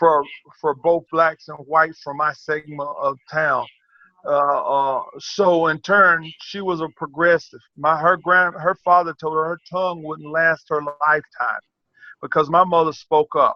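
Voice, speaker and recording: This man, with an American accent, speaks at a fairly slow pace in a fairly high voice with monotone, flat intonation. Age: 60s. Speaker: track and field coach. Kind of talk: interview. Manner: halting, many repetitions.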